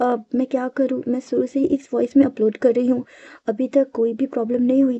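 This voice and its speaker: With a high pitch and fairly even intonation, a woman talks at a moderate speed. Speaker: fan fiction narrator. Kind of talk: casual chat to viewers.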